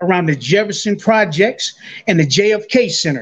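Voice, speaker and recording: This man has a high pitch, a fairly slow pace, ordinary pitch variation and an American accent. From California, Inland Empire (born Buffalo, New York). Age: 60s. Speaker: former prisoner. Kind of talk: interview.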